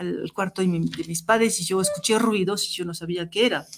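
A woman with a French accent speaks at a medium pitch. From Tunisia, raised in southern France. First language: French (speaking Spanish). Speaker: professor. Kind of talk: interview. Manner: halting.

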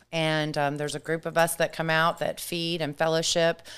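On a very clean recording with a silent background, a woman speaks in a very deep, low voice. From Germany. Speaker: insurance employee. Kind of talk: testimony.

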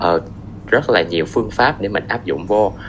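A man's fairly low voice at a moderate pace, over noticeable background noise. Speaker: engineering student. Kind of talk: casual interview.

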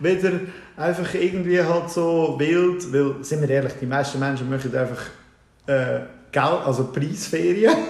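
A man speaks at a fairly slow pace in a fairly high voice with ordinary pitch variation and long, frequent pauses. Noticeable background noise and audible room echo are present. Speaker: IT business owner. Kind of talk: casual interview chat. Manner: halting, many fillers.

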